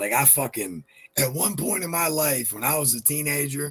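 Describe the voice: The voice moves at a moderate pace with lively intonation, a fairly bright tone and a slightly husky edge. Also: man, fairly high pitch for a man.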